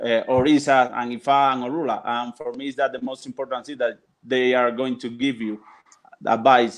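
A man with a Spanish accent at a fairly quick pace and medium pitch, in monotone, flat intonation. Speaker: religious practitioner and translator. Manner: halting.

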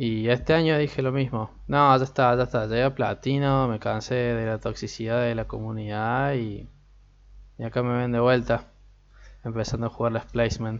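An unremarkable speaking voice at a moderate pace, fairly even in intonation, over a quiet background. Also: man, medium pitch for a man. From Argentina. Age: 20s. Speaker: podcast host and psychology student. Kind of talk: casual solo podcast talk. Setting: home recording, alone.

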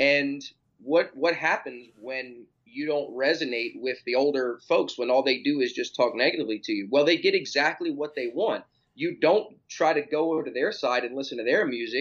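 A man with an ordinary speaking voice, a fairly high pitch, ordinary pitch variation and a moderate pace. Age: 30s. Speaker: personal trainer and fitness author. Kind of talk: casual interview chat.

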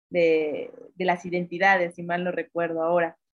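A woman speaks at a moderate pace with a fairly low pitch. She has an unremarkable speaking voice. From Mexico, northern Veracruz. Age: 30s. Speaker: feminist activist, communications graduate. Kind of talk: interview. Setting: remote call.

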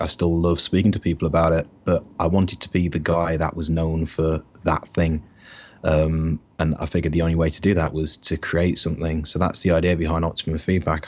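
A man with an English Midlands accent speaks in a very deep, low pitch with monotone, flat intonation. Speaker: online business entrepreneur. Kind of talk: interview. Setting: remote call.

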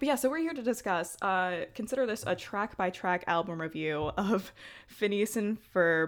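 An ordinary speaking voice, a woman with an American accent, medium pitch, lively intonation and a moderate pace, on a very clean recording with a silent background. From Brooklyn, New York. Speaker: podcast co-host. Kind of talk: casual chat.

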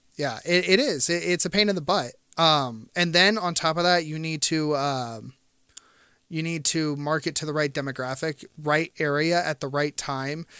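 In a very clean recording with a silent background, a man speaks at a fairly high pitch with a bright, sharp tone and ordinary pitch variation. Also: moderate pace. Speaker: podcast co-host and YouTuber. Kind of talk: casual chat. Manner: stutter.

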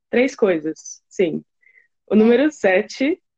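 A woman's dark, mellow tone at a very slow pace, dry and close with no echo. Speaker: podcast co-host. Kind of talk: casual chat.

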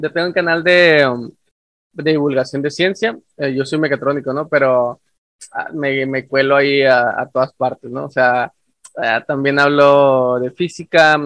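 A man talks in a normal speaking voice. His pitch is fairly high and his intonation fairly even. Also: fairly slow pace. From northern Mexico. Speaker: podcast host, science communicator. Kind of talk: casual chat.

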